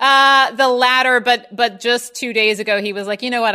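With an American accent, a woman speaks at a fairly quick pace in a plain, everyday voice, fairly high in pitch, with ordinary pitch variation. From US Mid-Atlantic (Baltimore). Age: 30s. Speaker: writer and editor. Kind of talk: casual chat interview.

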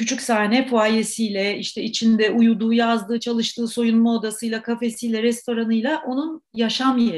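The woman's voice is fairly high in pitch and somewhat breathy. She keeps a moderate pace. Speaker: actor, playwright and theatre director. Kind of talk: interview.

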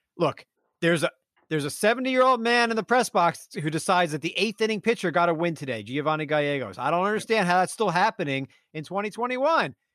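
Loud and energetic, a man talks at a very fast pace with high pitch and lively intonation against a quiet background. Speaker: fantasy baseball podcast host. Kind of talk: casual chat. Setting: remote recording. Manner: loud, energetic.

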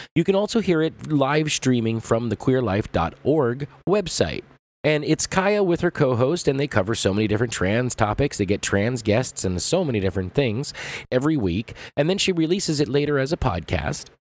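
A man with an American accent, very wide pitch swings and a moderate pace. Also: medium pitch for a man. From Southern California. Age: 40s. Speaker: podcast host. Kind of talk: podcast monologue.

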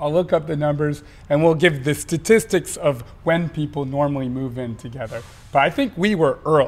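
This man has a normal speaking voice with a fairly high pitch. He keeps a moderate pace and ordinary pitch variation. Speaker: podcast co-host. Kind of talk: casual chat between couple, podcast.

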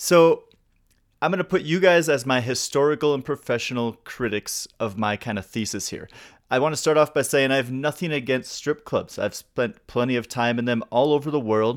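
In a very clean recording with a silent background, a man speaks in a plain, everyday voice at medium pitch and a moderate pace, with ordinary pitch variation. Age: 40s. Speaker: music podcast host. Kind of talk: casual interview.

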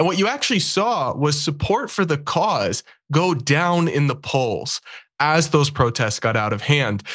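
An ordinary speaking voice from a man, fairly high in pitch, with lively intonation, very even loudness, and a fairly slow pace over a quiet background. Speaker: political commentator. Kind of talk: debate.

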